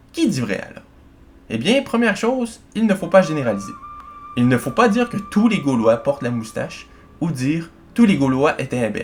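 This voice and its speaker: At a moderate pace and in a Quebec accent, the voice makes very wide pitch swings and big swings in loudness over music in the background. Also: man, fairly high pitch for a man. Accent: Québécois. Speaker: history YouTuber. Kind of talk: educational video narration.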